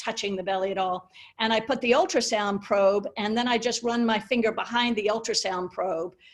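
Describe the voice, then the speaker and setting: With an American accent, a woman speaks in a normal speaking voice at a fairly high pitch, with ordinary pitch variation and a moderate pace. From USA. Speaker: pain medicine physician. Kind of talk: webinar Q&A answer.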